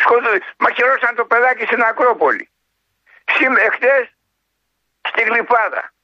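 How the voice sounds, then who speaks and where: A man's extremely high pitch at a moderate pace, with very even loudness and long, frequent pauses. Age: 70s. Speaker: army veteran. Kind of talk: phone-in call.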